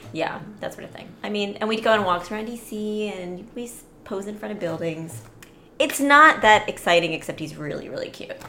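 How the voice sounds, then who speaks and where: A woman speaks at a moderate pace with lively intonation and big swings in loudness. Noticeable background noise and audible room echo surround her voice. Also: medium pitch for a woman. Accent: American. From Orlando, Florida (Sri Lankan parents). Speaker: podcast guest. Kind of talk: casual chat.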